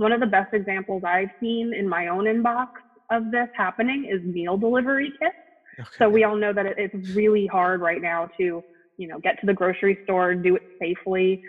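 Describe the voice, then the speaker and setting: The speaker has an American accent and a fairly quick pace. Noticeable background noise is present. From US, North Jersey. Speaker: marketing specialist. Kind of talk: interview.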